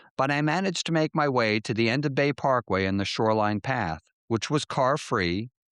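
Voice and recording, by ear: In a natural voice, someone reads aloud with a quiet background behind.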